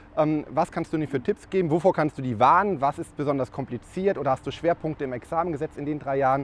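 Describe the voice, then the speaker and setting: A man's fairly high voice at a very fast pace, hardly any pauses, ordinary pitch variation. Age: 30s. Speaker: tax advisor, podcast host. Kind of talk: casual interview. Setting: on location over lunch.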